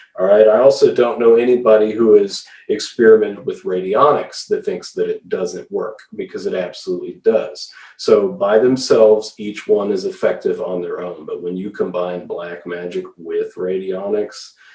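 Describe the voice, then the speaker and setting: With hardly any pauses, a man talks at a moderate pace while his loudness swings widely. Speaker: occultist selling radionics devices. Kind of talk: solo video demonstration. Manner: animated.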